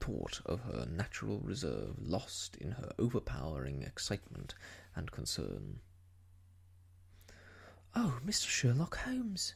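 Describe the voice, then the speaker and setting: The speaker is soft-spoken and fairly slow. Long, frequent pauses break up the speech. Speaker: audiobook reader, ASMR storyteller. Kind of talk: audiobook reading of a classic novel. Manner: soft-spoken, gentle.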